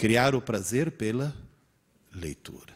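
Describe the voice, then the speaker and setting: A man speaks with vocal fry. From Italy. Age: 60s. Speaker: teacher. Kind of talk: lecture. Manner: animated.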